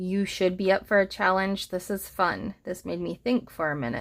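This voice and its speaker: With ordinary pitch variation and a moderate pace, a plain, everyday voice comes across on a very clean recording with a silent background. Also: woman. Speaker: elementary school teacher. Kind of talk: tutorial.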